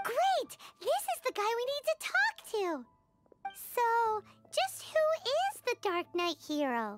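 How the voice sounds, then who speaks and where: Over music in the background, a squeaky, put-on character voice with an extremely high pitch speaks at a fairly slow pace. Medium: video game. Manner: bubbly, teasing.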